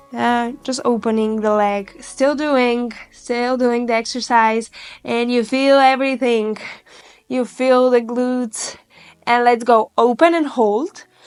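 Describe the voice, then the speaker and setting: Speaking very slowly with fairly even intonation, a woman with a non-native accent uses a high voice. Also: very clean recording, silent background. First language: not English. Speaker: Pilates instructor. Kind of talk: guided workout instruction. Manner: encouraging, instructive.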